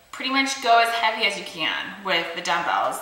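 Audible room echo carries this woman's voice. She speaks at a moderate pace. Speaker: fitness instructor. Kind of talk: workout intro chat. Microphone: phone near.

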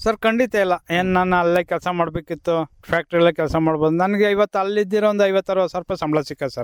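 A man with a high pitch and fairly even intonation is recorded with a dry, close sound and no echo. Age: 40s. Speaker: farmer. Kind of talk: radio interview.

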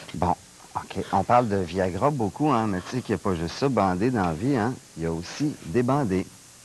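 A man talks at a moderate pace with fairly low pitch and lively intonation, in a plain, everyday voice. The sound is dry with no echo, over light background noise. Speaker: guest. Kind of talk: comic mock demonstration. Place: studio. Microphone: lapel.

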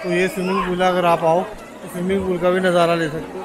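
A high-pitched man talks at a fast pace with little pitch movement. Clear background noise and clear crowd noise fill the back.

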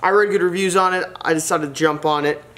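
There is noticeable background noise behind this man's voice. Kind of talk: casual vlog chat. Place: garage. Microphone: camera far.

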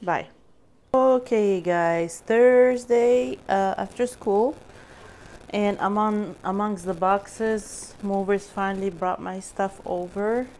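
Her pitch shifts in an ordinary way. The woman talks at a very slow pace. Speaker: vlogger and mother; vlogger. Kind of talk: casual vlog narration. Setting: at home among moving boxes. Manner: animated. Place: kitchen. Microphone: phone near.

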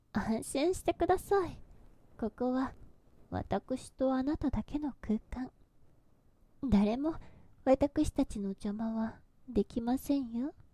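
A woman speaks very slowly, with long, frequent pauses. Her high voice has a dark, mellow tone and lively intonation. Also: dry sound with no echo. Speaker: ASMR voice actress. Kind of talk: yandere goddess roleplay monologue, scripted ASMR situation voice. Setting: binaural headphone ASMR recording. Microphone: studio mic.

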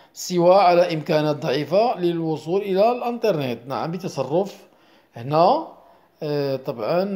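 This man's voice is pitched high. It carries a dark, mellow tone. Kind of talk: lesson. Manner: repetitive.

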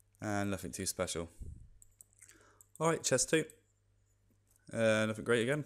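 A man talks quietly with a British accent. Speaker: gaming video creator. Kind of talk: gameplay commentary. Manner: quiet, subdued.

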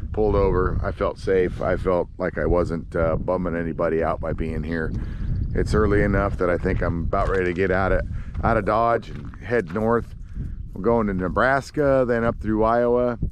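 A man with a fairly low voice speaks at a moderate pace and ordinary pitch variation, over noticeable background noise in a dry recording with no echo. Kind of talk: casual vlog chat. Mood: relaxed, pleased. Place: open country. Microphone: phone near.

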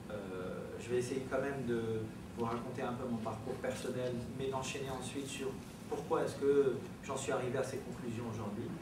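A man at a moderate pace amid noticeable background noise and audible room echo. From Algeria, Algiers. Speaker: activist and doctoral researcher. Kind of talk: informal talk. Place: classroom.

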